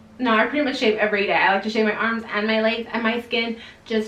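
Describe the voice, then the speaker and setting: Amid noticeable background noise, a woman talks at a fairly quick pace with a fairly high pitch. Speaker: beauty vlogger. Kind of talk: casual product review vlog. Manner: fast.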